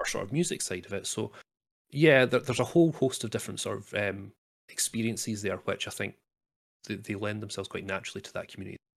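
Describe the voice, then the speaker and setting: A man at a very fast pace with lively intonation, in a very clean recording with a silent background. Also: medium pitch for a man. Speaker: video game streamer. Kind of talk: casual interview.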